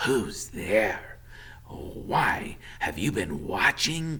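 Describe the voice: Putting on a character voice, a man speaks raspy and hissing at a very slow pace, his medium pitch making very wide swings.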